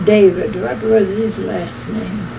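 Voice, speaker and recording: Against noticeable background noise, a woman with an American accent speaks at a very slow pace. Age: 80s+. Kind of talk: oral history interview answer. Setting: cassette recording.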